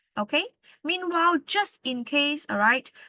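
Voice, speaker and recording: A woman speaks loudly at a fairly slow pace with lively intonation and a bright, sharp tone, the sound dry and close with no echo over a quiet background. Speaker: English tutor. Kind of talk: lecture.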